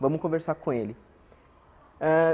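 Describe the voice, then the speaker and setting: With ordinary pitch variation, a man's high-pitched voice carries the speech. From São Paulo, Brazil (born in Pernambuco). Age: 30s. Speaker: teacher. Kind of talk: interview testimony. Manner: conversational.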